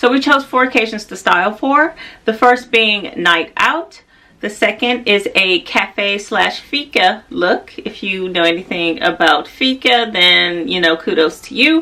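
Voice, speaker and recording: In an American accent, a woman with an unremarkable speaking voice talks at a fairly slow pace, her fairly high pitch carried by lively intonation. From United States. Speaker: fashion and style vlogger. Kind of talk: casual vlog talk to camera.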